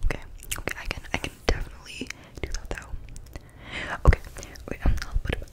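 A woman whispers at a very fast pace. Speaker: ASMR creator. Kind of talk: ASMR roleplay, casual talk to camera. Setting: muffled as if through a fishbowl. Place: home room. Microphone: studio mic.

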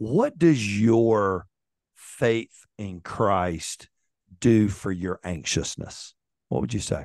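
A man with a fairly low voice talks at a very slow pace, using lively intonation. The sound is dry with no echo, over a quiet background. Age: 50s. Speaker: podcast host. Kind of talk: interview. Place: home room. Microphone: studio mic.

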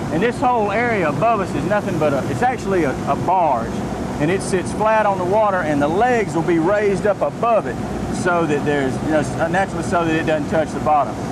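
Fairly quick speech over loud background noise. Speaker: fishing guide explaining rig. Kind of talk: interview answer. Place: boat. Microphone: lapel.

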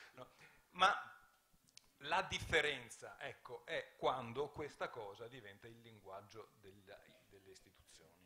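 At a fairly slow pace, a man talks with a bright, sharp tone, a fairly high pitch and ordinary pitch variation over light background noise. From Veneto, Italy. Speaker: politician and writer. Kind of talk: panel discussion. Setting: stage with audience. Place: stage. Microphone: handheld.

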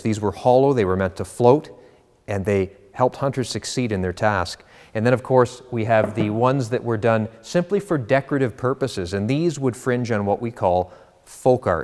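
Ordinary pitch variation marks this man's delivery. He speaks at a moderate pace over a quiet background. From Canada. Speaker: auctioneer. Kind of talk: auction house promotional presentation to camera. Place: studio. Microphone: lapel.

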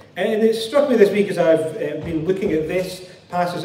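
A man talks at a moderate pace. Audible room echo and light background noise surround his voice. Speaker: preacher. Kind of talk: sermon. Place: church. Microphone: headset.

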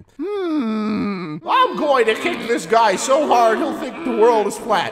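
A man's extremely high-pitched voice at a very slow pace. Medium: fan dub. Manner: cheerful, airheaded.

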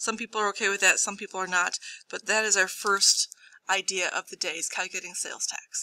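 A woman talks at a fairly quick pace. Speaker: math teacher. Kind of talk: lecture. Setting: studio. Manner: animated.

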